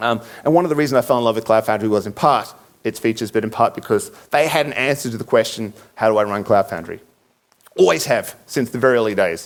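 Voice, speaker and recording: Very fast delivery with ordinary pitch variation. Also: man, medium pitch for a man. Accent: Australian. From Australia. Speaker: conference speaker. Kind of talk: conference talk. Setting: stage with audience. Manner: hesitant, many fillers.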